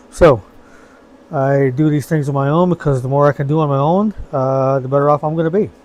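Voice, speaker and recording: Noticeable background noise sits behind a man with a fairly high pitch and ordinary pitch variation. He talks at a very fast pace but with long, frequent pauses. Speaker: hobbyist DIY video maker. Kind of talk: casual tutorial. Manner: halting, many fillers. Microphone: recorded on old iPhone.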